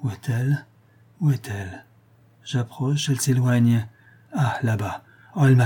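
Someone reads a text aloud in a natural voice.

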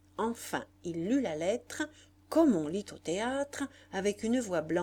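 Intonation is lively throughout this plain reading aloud.

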